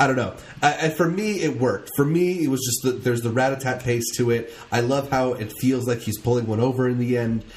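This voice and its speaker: Talking at a fairly quick pace with hardly any pauses, a man uses a medium, somewhat breathy voice with ordinary pitch variation. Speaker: podcast co-host. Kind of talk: casual podcast banter.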